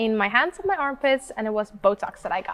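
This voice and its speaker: Against noticeable background noise, a woman speaks quite fast at a fairly high pitch. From Sweden. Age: 20s. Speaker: model and influencer. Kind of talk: interview. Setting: in person interview.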